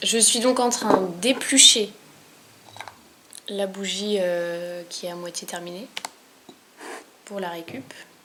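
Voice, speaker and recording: There is noticeable background noise behind this woman, whose pitch varies in an ordinary way. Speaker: vlogger. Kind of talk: tutorial.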